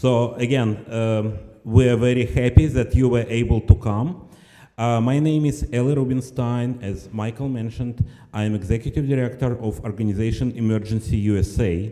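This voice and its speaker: A man's voice sits at a medium pitch with a dark, mellow tone. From former Soviet Union. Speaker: nonprofit director. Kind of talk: speech at benefit event.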